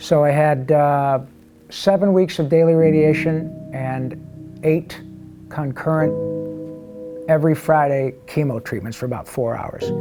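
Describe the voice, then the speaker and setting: Music plays behind a man with an American accent. His pitch is fairly high and his pace fairly slow. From Michigan, US. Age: 60s. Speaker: voice actor. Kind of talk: interview answer. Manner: casual, upbeat.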